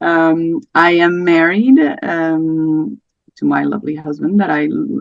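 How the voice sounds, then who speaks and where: A woman speaks with a fairly low pitch and lively intonation. She has a slight Portuguese accent. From Portugal. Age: 30s. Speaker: podcast guest sharing miscarriage story. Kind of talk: casual interview chat. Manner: hesitant, many fillers.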